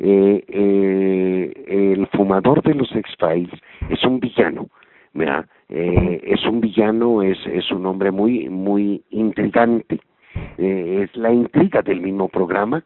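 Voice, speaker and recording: A man speaks with a Mexican accent at a fairly low pitch. His pace is very slow. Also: ordinary pitch variation. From Mexico. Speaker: voice actor. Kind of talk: interview.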